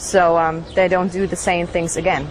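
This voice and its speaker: A woman with a German accent speaks at a medium pitch over noticeable background noise. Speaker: former Scientology member. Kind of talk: interview testimony. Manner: halting.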